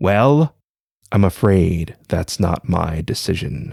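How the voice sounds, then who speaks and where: Using a put-on character voice, a man speaks at a very slow pace with a very deep, low pitch and very wide pitch swings, in a dry, close sound with no echo. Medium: read story.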